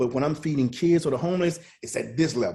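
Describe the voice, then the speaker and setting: A man speaks with an American accent in a dark, mellow tone. His voice is somewhat breathy, with ordinary pitch variation. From US South, Mississippi. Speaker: chef and motivational speaker. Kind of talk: podcast interview.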